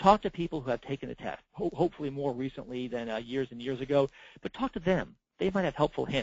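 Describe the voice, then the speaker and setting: Talking at a very fast pace, a man with vocal fry has a fairly high pitch and ordinary pitch variation. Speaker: certification program manager giving training. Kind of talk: recorded webinar presentation. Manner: halting, many fillers and repeats.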